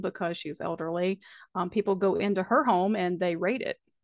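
A woman with an Appalachian accent talks at a fairly quick pace with fairly even intonation and a medium pitch. The sound is dry and close with no echo against a quiet background. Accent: Appalachian Southern US. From US South, Appalachian North Carolina. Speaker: author, poet and podcaster. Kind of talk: casual interview chat. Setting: remote call.

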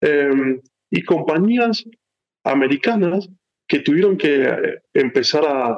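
A man at a very slow pace, with lively intonation. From Argentina, San Rafael, Mendoza. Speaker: tech executive. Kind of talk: interview.

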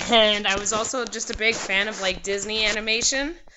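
This woman has a plain, everyday voice and a Canadian accent. Her pitch is medium, her intonation fairly even and her pace moderate. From Canada, British Columbia (North Vancouver, Squamish, Port Hardy). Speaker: singer and musician. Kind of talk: casual interview. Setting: video call. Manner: casual, filler-heavy with frequent likes and ums.

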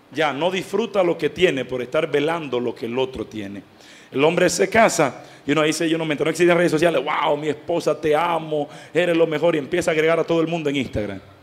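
Over noticeable background noise, a man talks at a very fast pace. His pitch is fairly high, with ordinary variation. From Dominican Republic. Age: 20s. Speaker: lay pastoral associate, catechist. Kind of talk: catechetical talk to parents.

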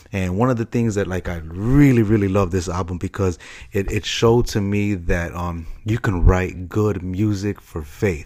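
A man with an American accent and a very deep, low pitch, ordinary pitch variation and hardly any pauses, in a very clean recording with a silent background. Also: moderate pace. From Chicago. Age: 30s. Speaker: podcast host. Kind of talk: casual solo podcast monologue. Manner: halting, many fillers and repeats.

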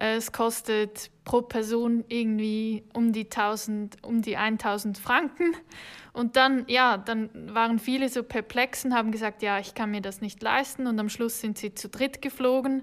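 Over a silent background on a very clean recording, a woman speaks fairly slowly at a fairly high pitch with fairly even intonation. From Switzerland. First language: Swiss German (speaking German). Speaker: hotel marketing worker. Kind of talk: casual interview.

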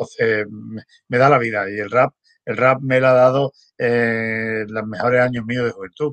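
At a moderate pace, an unremarkable speaking voice holds fairly even intonation, with a dry, close sound with no echo. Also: man. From Spain. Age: 60s. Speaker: former rapper and DJ. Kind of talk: casual interview.

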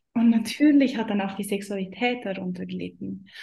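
A woman's voice with ordinary pitch variation and a Swiss German accent. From Switzerland. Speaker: business mentor for women. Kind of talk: interview.

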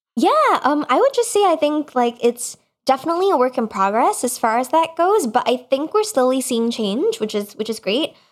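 A woman speaks with a high pitch at a moderate pace. Her pitch swings very widely. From Singapore. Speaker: electronic musician and music technology professor. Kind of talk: casual interview. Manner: animated.

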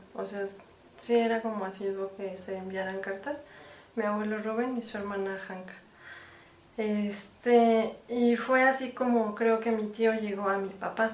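A woman with a Mexican accent speaks at a fairly high pitch and a fairly slow pace in a monotone, flat delivery, with audible room echo and noticeable background noise. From Mexico. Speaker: film producer and director. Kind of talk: casual interview.

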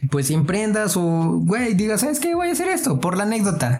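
Speaking in a Mexican accent, a man has an animated tone and a moderate pace. Room echo is audible, and background noise is noticeable. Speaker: podcast host. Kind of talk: casual chat.

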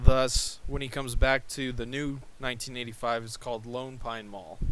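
Using an unremarkable speaking voice, a man talks at a fairly slow pace with fairly even intonation. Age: 20s. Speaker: podcast co-host. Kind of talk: casual chat.

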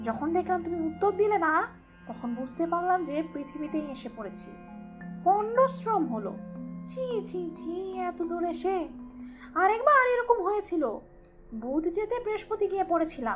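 Clear music sits in the background behind a put-on character voice. It is high-pitched and moves at a moderate pace. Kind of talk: audiobook storytelling. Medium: read story. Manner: superior, matter-of-fact.

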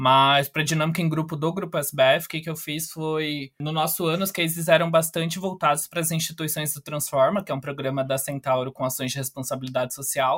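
Here is a man with a normal speaking voice, fairly high in pitch for a man, talking at a fairly quick pace with hardly any pauses. His intonation stays fairly even. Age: 20s. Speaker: company trainee. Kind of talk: podcast interview.

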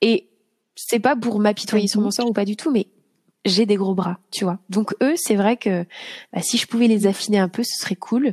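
With long, frequent pauses, a woman talks at a fairly slow pace in a fairly high, somewhat breathy voice with ordinary pitch variation, recorded dry and close with no echo. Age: 30s. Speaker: yoga teacher. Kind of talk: casual chat. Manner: halting.

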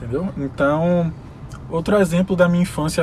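A man speaks at a moderate pace with ordinary pitch variation. Background noise is noticeable. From Brazil, Salvador (Bahia). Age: 20s. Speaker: administrator and dancer. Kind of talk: casual interview.

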